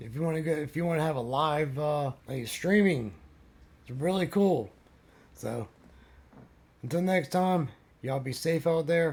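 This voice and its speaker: At a moderate pace and a fairly high pitch, a man speaks somewhat breathily with ordinary pitch variation and long, frequent pauses. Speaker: van life vlogger. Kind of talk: casual vlog outro. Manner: halting, repeats words.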